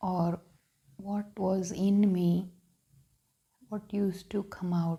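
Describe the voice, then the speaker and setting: Breathy in a slight way, a woman with a dark, mellow tone speaks very slowly in a flat monotone, leaving long, frequent pauses. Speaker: spiritual vlogger. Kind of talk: reflective monologue. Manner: halting.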